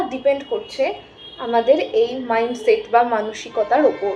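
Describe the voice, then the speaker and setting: A woman's voice with very wide pitch swings. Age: 20s. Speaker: psychology student and self-help YouTuber. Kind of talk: educational talk. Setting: rented room at home.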